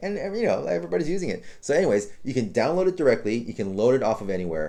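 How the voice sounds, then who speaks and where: A man speaks with very wide pitch swings. His tone is dark and mellow. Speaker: web design tutor. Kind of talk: tutorial. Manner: fast; casual with many fillers.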